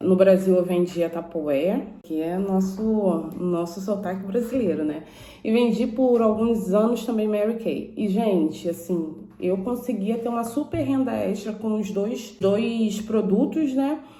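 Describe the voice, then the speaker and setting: In a Rio accent, a woman talks at a fairly slow pace and medium pitch with ordinary pitch variation, with audible room echo. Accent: Brazilian Portuguese, Carioca. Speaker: YouTuber. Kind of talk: informational vlog. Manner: casual, conversational.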